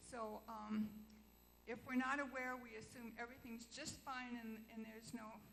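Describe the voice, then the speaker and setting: A woman speaks at a moderate pace with monotone, flat intonation, with audible room echo around her. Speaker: church member. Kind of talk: question at congregational meeting. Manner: loud.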